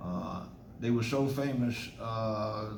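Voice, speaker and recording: A man with a fairly low voice speaks in fairly even intonation, with audible room echo and noticeable background noise. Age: 70s. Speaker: author. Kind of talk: testimony. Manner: halting.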